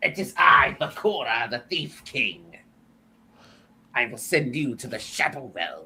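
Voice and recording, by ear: In a put-on character voice with a menacing, theatrical tone, the speaker uses a low-to-middle pitch at a fairly slow pace, with long, frequent pauses.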